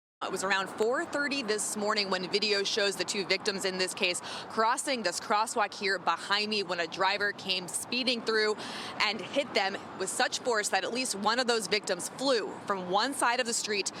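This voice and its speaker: This woman talks at a moderate pace, her medium pitch showing ordinary variation. Noticeable background noise sits behind her. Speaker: television news reporter. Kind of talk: TV news field report, reporter reel.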